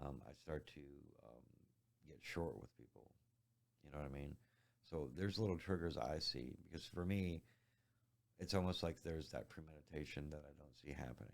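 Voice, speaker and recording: Soft-spoken with vocal fry, a man talks in a very deep, low voice at a moderate pace with ordinary pitch variation. His loudness swings widely, and he leaves long, frequent pauses. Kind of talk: interview answer.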